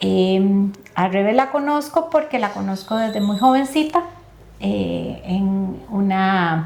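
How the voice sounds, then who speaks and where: A woman's voice at medium pitch. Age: 60s. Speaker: lawyer and life coach. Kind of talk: testimony. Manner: hesitant, many fillers.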